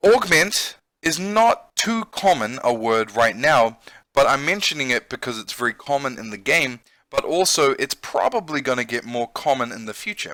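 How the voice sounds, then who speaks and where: A man with a New Zealand accent has a fairly high, bright, sharp voice with very wide pitch swings, recorded dry and close with no echo. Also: moderate pace, big swings in loudness. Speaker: English teacher and gamer. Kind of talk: let's play with vocabulary lesson. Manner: casual and explanatory.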